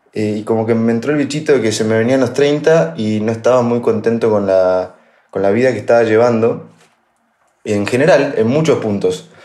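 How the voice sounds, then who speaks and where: A man speaks at a moderate pace with a medium pitch and ordinary pitch variation. His tone is dark and mellow, with audible room echo. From Argentina, La Pampa. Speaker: podcast co-host, tech sales. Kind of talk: casual chat.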